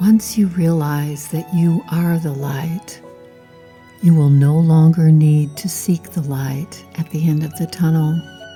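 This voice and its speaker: Over music in the background, a woman with a soothing, calm tone and a very deep, low pitch speaks very slowly with ordinary pitch variation. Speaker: sleep story and meditation narrator. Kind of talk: sleep story narration. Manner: soothing, calm, slow.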